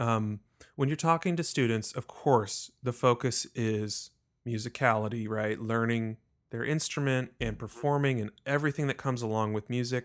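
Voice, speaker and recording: The man's pitch is medium and varies in an ordinary way. He keeps a moderate pace in a normal speaking voice. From Texas. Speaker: podcast host, musician and financial consultant. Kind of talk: interview.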